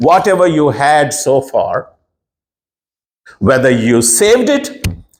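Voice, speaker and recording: A man's fairly high voice, very slow, with very wide pitch swings. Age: 60s. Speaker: pastor. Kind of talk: sermon.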